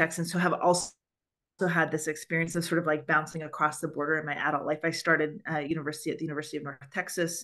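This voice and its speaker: Against a quiet background, a woman speaks at a very fast pace with a very deep, low pitch, a bright, sharp tone and monotone, flat intonation. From Canada. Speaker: church moderator, book club host. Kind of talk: webinar book discussion.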